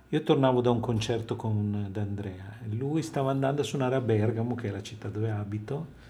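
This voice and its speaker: A somewhat breathy man at medium pitch, fairly quick pace and ordinary pitch variation, with audible room echo. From Italy (Livorno, Tuscany, until age ten). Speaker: jazz saxophonist. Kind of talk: radio interview.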